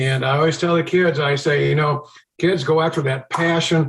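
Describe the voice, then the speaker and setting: Fairly high in pitch, a man talks with fairly even intonation. He keeps a moderate pace. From Chicago area, US Midwest. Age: 60s. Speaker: TV meteorologist. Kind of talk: podcast interview.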